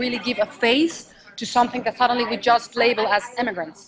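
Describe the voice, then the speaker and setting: The speech comes at a fairly quick speed, with noticeable noise in the background. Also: woman. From Mexico. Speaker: stage and film actress. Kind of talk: interview answer.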